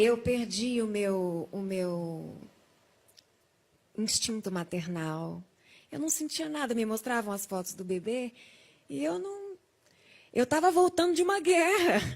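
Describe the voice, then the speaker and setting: Her fairly high pitch swings very widely as a woman speaks at a very slow pace with long, frequent pauses. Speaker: testimony guest, survivor of coma. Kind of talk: testimony.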